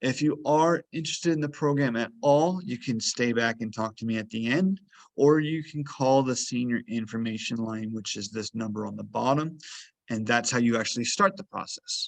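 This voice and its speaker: A man speaks at medium pitch and a moderate pace, in an ordinary speaking voice with ordinary pitch variation. The background is quiet. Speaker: health program coordinator and fitness instructor. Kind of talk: webinar presentation.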